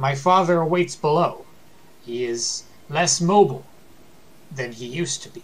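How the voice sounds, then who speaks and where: A man's put-on character voice, fairly high in pitch, at a moderate pace with long, frequent pauses over light background noise. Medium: actual play. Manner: noble, formal, reverent.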